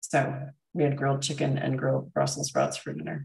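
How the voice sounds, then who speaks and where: Speaking at a moderate pace, a woman uses a very deep, low pitch with vocal fry. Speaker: functional medicine doctor and health livestreamer. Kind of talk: casual livestream chat with viewers. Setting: live stream reading viewer comments. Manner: casual, many filler ums.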